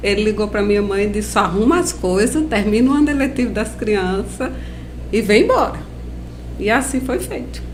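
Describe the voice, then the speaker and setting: A woman with a Paraíba accent at a fairly slow pace, with audible room echo and noticeable background noise. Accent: Paraíba northeastern accent, kept. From Paraíba, Brazil (Campina Grande). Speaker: biologist and lab owner. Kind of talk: interview.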